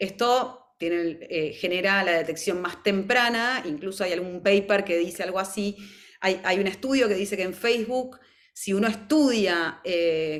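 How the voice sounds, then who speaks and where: A woman talks at a fairly slow pace in a medium pitch with ordinary pitch variation. Hers is a normal speaking voice. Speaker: mental health professional presenter. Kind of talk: webinar presentation.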